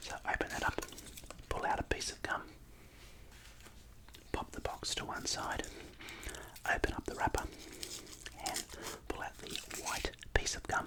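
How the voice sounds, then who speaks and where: A man whispers in an Australian accent over noticeable background noise. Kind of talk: casual talk to camera. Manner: whispered.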